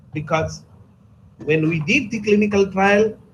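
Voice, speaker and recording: A man's fairly slow speech with ordinary pitch variation and audible room echo. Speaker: pharmacology resource person. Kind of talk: lecture. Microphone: too quiet.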